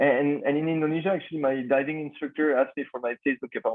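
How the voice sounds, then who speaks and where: This man talks at a very fast pace in a French accent. His pitch is fairly high. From France. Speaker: startup founder. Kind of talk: podcast interview. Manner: halting, many fillers.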